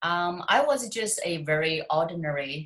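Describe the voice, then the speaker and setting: A woman talks with a Chinese accent. Her pitch is fairly low. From China. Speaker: author and success coach. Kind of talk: interview.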